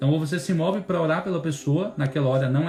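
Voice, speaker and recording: A man is talking. Behind him, music plays. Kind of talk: bible teaching. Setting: instagram live stream.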